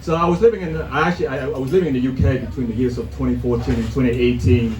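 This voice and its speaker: A man speaks at a very fast pace amid noticeable background noise and audible room echo. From Vietnam. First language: Vietnamese. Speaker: stand-up comedian. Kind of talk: stand-up. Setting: stage with audience.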